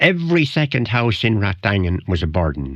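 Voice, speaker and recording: A man talks in a strong Wicklow accent. His pitch sits fairly low. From Ireland, West Wicklow. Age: old. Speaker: retired local columnist and sports historian. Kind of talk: radio interview, reminiscing. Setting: radio studio. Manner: halting, repeats words.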